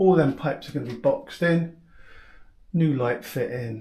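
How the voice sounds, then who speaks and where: A man speaks at a fairly slow pace in a dark, mellow tone. His voice is somewhat breathy. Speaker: DIY home renovator. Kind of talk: casual DIY vlog. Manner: casual, hesitant with ums.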